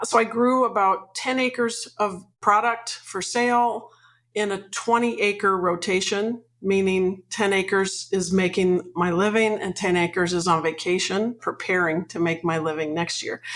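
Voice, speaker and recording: With a Mid-Atlantic US accent, a woman speaks at a medium pitch with ordinary pitch variation. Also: fairly slow pace. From Washington DC suburbs. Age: 60s. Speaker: retired farmer and farm consultant. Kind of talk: interview.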